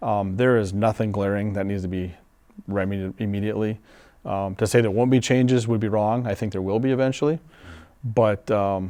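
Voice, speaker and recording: The voice has a dark, mellow tone and an Upper Midwest accent. It moves at a fairly quick pace with fairly even intonation. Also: man, fairly low pitch for a man. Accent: Upper Midwest American. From western Wisconsin, Menomonie. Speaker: fire chief. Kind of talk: interview.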